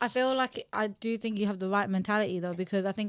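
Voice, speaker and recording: The recording is very clean with a silent background. A woman talks at a very fast pace. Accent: London. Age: 20s. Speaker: podcast co-host. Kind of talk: casual chat.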